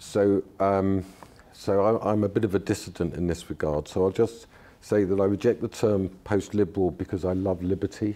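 A man with a London accent, a fairly low pitch, a dark, mellow tone, monotone, flat intonation and a moderate pace. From London, England. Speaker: political theorist and lecturer. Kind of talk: lecture then discussion. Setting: stage with audience. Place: hall. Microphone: podium.

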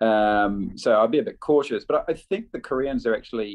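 The speaker has a New Zealand accent and talks at a moderate pace. The background is quiet. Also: man. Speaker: diplomat; webinar panelist. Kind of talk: webinar presentation. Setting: video call. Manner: halting. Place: office. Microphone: video call.

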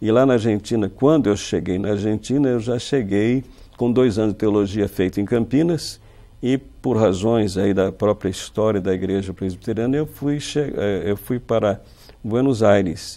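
Here a man speaks in a fairly low pitch with a dark, mellow tone, a moderate pace and ordinary pitch variation. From Brazil, São Paulo state (Marília); São Paulo state, Brazil. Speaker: university professor and writer; university professor. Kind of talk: interview. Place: studio. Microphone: lapel.

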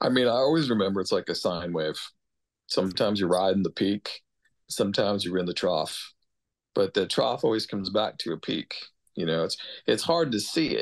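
Over a quiet background, a man with an American accent talks at a fairly quick pace in a fairly low voice, his intonation lively and his pauses long and frequent. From New York. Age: 50s. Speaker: record producer and mixing engineer; guest. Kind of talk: casual interview and student Q&A. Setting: video call from home. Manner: casual, swears freely. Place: home room. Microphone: video call.

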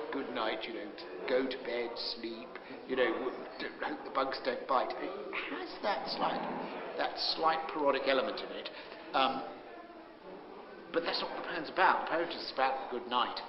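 Noticeable background noise runs under a man's voice. He keeps a moderate pace with long, frequent pauses. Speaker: comedian and television presenter. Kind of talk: interview answer. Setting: bookshop. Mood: reflective, earnest about poem. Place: hall.

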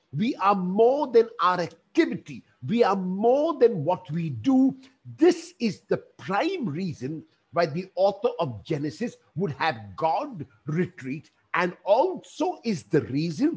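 Speaking at a very slow pace, a man lets his pitch swing very widely. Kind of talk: sermon. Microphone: headset.

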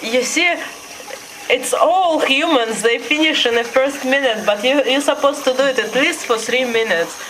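Light background noise sits under a voice with a Russian accent moving at a moderate pace. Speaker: pet owner filming. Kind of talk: casual commentary while filming a pet. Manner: playful, amused. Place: home room. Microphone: phone near.

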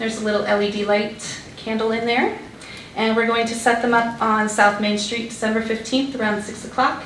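Amid noticeable background noise and audible room echo, a woman speaks fairly quickly in a fairly high, flat monotone. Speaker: public commenter at council meeting. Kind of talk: public comment presentation. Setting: town council meeting.

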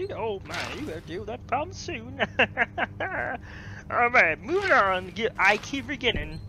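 Putting on a character voice, a man sounds strained, with big swings in loudness and long, frequent pauses over clear background noise. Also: moderate pace. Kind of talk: comic overacting. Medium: game stream. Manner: exaggerated, cheery, folksy.

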